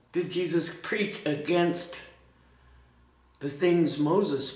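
A man speaks at a fairly slow pace, with audible room echo. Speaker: preacher. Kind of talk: sermon. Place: church.

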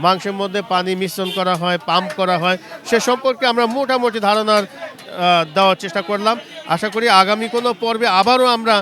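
Crowd noise runs in the background. A man speaks in a raised, projected, high voice with ordinary pitch variation. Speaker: video reporter. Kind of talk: street interview and presenting.

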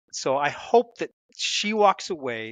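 A man's voice swings very widely in pitch, recorded dry with no echo over a quiet background. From United States. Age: 50s. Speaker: author; podcast guest. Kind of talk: interview. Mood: reflective, earnest. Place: home room. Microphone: headset.

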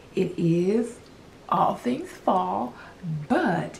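A woman's fairly low, slightly mellow voice with vocal fry and big pitch swings

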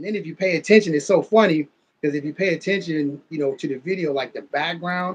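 Delivery comes at a fairly quick pace with ordinary pitch variation. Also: man. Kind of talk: casual conversation. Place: home room. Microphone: video call.

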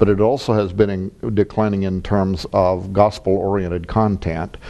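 A man's fairly low voice with fairly even intonation, a plain, everyday voice. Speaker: author and publisher. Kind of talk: interview.

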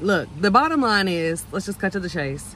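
A woman's bright, sharp tone comes through dry with no echo, showing ordinary pitch variation over light background noise. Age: 30s. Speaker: esthetician and faith vlogger. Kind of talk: casual talk to camera. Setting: outdoors. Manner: earnest, heartfelt. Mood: passionate, preachy. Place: car. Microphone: earbuds.

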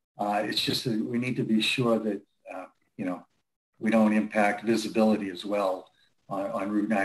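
An unremarkable speaking voice from a man, fairly low in pitch, at a moderate pace. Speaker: company representative. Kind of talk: public meeting discussion. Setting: video call.

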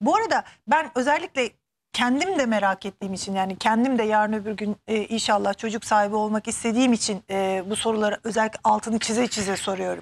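This woman has an unremarkable speaking voice at a fairly high pitch. She talks at a fairly quick pace with ordinary pitch variation. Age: 30s. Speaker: TV show host. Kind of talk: TV interview. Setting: TV studio. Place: studio.

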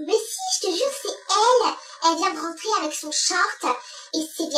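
A squeaky put-on character voice reaches an extremely high pitch. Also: moderate pace. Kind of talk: casual storytime vlog chat. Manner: shrill, mocking, insistent.

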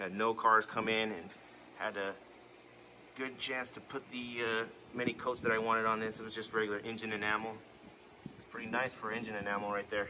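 A man's monotone, flat intonation over light background noise. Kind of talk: casual vlog chat. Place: garage. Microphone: phone near.

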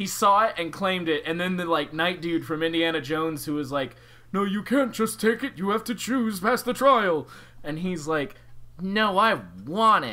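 The speaker has a bright, sharp tone and lively intonation at a moderate pace. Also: man, high pitch for a man. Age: 20s. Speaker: podcast co-host. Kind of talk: casual chat.

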